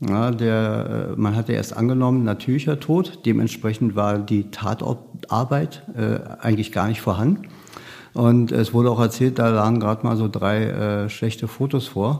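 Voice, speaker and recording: A man's medium-pitched, dark, mellow voice at a moderate pace, with ordinary pitch variation and very even loudness. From Berlin, Germany. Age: 50s. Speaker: criminal profiler, police unit head. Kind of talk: interview.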